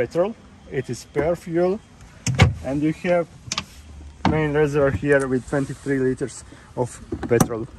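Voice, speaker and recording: A man's fairly slow speech with ordinary pitch variation and long, frequent pauses, in a dry sound with no echo and loud background noise. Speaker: charter boat instructor. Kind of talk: tutorial. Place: boat. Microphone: phone near.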